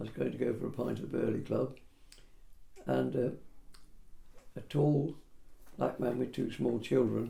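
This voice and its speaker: With an English accent, a man talks at a moderate pace, leaving long, frequent pauses. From Peterborough, England. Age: 80s+. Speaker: property surveyor. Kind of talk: oral history interview answer.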